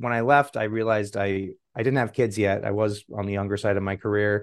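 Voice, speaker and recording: A man speaks at a medium pitch with fairly even intonation and an unremarkable speaking voice, against a quiet background. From Guatemala, raised by American parents. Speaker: biotech CEO, scientist. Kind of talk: interview.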